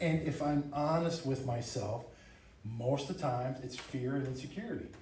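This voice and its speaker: The speech moves at a moderate pace, with room echo audible. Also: man. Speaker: recovering alcoholic speaker. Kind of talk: testimony. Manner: mumbling.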